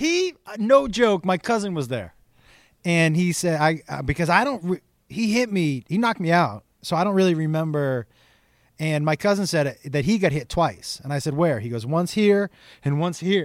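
Recorded very cleanly against a silent background, a man with an American accent speaks at a high pitch. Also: lively intonation, moderate pace. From Western Massachusetts (Amherst). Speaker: comedian. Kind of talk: casual chat.

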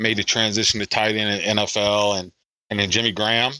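Captured dry and close with no echo on a very clean recording with a silent background, a man talks at a fairly quick pace in a bright, sharp tone. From South Carolina. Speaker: podcast co-host, sports editor. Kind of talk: casual chat. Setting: home basement.

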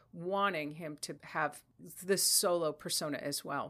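Her pitch sits very deep and low for a woman, yet her tone comes across bright and sharp. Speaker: musician. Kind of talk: casual interview.

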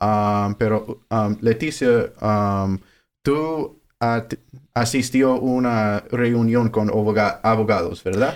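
With an English accent, a man speaks at a very slow pace and medium pitch, his intonation fairly even and loudness very even, in a very clean recording with a silent background. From Southern California. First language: English (speaking Spanish). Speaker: food bank outreach worker, former Spanish teacher. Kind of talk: interview. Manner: hesitant, many fillers.

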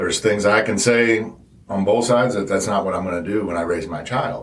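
A man's fairly low voice, a normal speaking voice, at a moderate pace with ordinary pitch variation. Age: 40s. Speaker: guest sharing stepfamily experience. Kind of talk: casual interview.

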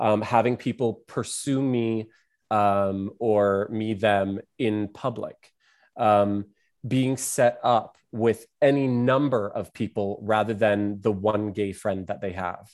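A man speaking very slowly at a fairly low pitch, fairly even in intonation, on a very clean recording with a silent background. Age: 30s. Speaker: artist and entertainer. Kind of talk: casual chat.

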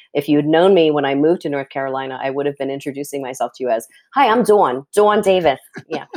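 Speaking at a very fast pace, a woman uses lively intonation. Her voice has a very deep, low pitch. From New Jersey. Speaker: podcast host. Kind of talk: interview conversation.

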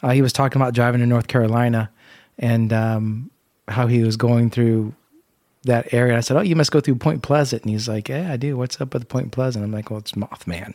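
A man's dark, mellow tone at a medium pitch, with an American accent, fairly even intonation and a fairly quick pace, in a very clean recording with a silent background. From US Midwest, Indiana. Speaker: podcast co-host.

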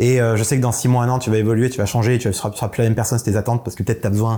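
This man talks at a very fast pace. His tone is dark and mellow. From southern France. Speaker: entrepreneur panelist. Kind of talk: casual business panel chat.

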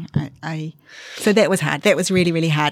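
A woman's very deep, low voice with a New Zealand accent. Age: 40s. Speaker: interviewee sharing fertility story. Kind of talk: personal testimony interview. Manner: halting.

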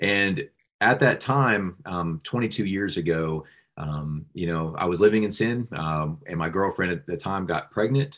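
A man's very deep, low voice with an American accent at a fairly slow pace against a quiet background. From Central Florida, then Charlotte, North Carolina from age 12. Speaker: pro-life ministry director. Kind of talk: interview with personal testimony. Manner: halting, many filler words.

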